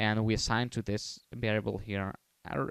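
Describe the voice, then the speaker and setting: A man's fairly low-pitched voice with fairly even intonation, dry and close with no echo. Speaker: programming tutorial maker. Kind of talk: tutorial. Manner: hesitant, many fillers; fast.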